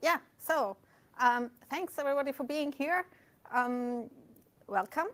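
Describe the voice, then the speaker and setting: A woman talks with ordinary pitch variation. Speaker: meetup organizer. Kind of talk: event opening remarks. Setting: meetup room with live audience. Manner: soft-spoken.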